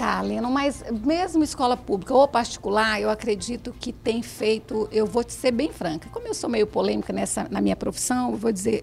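Noticeable background noise accompanies a woman talking at a fairly quick pace. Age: 60s. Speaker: radio host and teacher. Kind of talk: radio interview. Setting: radio studio.

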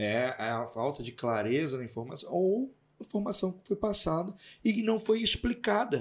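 This man's high-pitched voice swings very widely from low to high. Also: moderate pace, big swings in loudness. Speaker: podcast host, journalism background. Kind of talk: casual chat.

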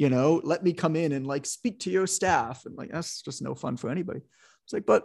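A man speaks at a moderate pace with vocal fry and ordinary pitch variation. The background is quiet. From Canada, suburban Toronto. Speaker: fitness business educator and author. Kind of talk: interview.

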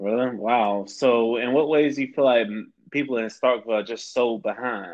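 A man with an American accent has an ordinary speaking voice, speaking at a moderate pace with medium pitch and ordinary pitch variation. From Florida, Tampa. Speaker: podcast host. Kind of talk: casual interview chat.

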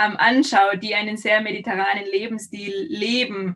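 A woman talks at a moderate pace with a normal speaking voice. Her pitch is fairly high, with ordinary variation. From Austria. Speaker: olive oil and almond producer. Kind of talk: casual interview.

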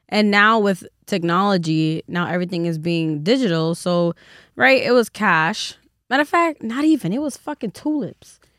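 A woman of medium pitch speaks with a New York accent and very wide pitch swings. The recording is very clean, with a silent background and a dry, close sound with no echo. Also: moderate pace. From the Bronx, New York. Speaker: podcast host. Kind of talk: casual chat.

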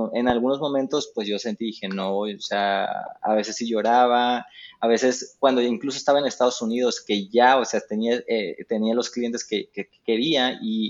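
In an ordinary speaking voice, a man talks at medium pitch and a moderate pace, with ordinary pitch variation and big swings in loudness. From Mexico. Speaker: digital marketing expert. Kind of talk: casual interview. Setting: remote call.

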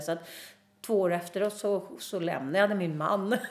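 Fairly even intonation with audible room echo. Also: woman. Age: 50s. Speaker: singer and public speaker. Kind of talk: interview. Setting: backstage dressing room.

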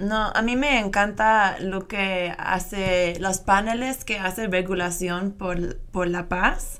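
A woman's medium-pitched voice in an American accent, at a very slow pace with hardly any pauses, fairly even intonation, and audible room echo. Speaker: radio host. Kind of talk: interview. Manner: halting.

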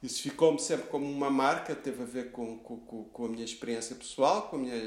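Audible room echo surrounds a man speaking at a fairly quick pace, medium in pitch, with fairly even intonation. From Lisbon, Portugal (teen years in Rio de Janeiro). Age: 50s. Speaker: food critic. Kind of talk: interview. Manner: halting, many repetitions.

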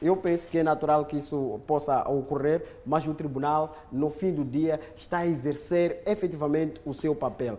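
The speaker keeps a moderate pace with hardly any pauses and fairly even intonation. Noticeable background noise runs underneath. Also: man, fairly high pitch for a man. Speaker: legal expert. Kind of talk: studio commentary. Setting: studio.

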